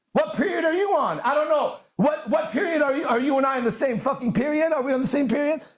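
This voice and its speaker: In an animated tone, a man talks with an extremely high pitch. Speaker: self-help speaker. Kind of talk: motivational monologue. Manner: fast.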